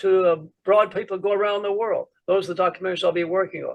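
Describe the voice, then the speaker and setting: Talking at a fairly quick pace, a man with an American accent has a high voice. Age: 80s+. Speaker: physician, preventive medicine pioneer. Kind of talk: interview answer. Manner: energetic.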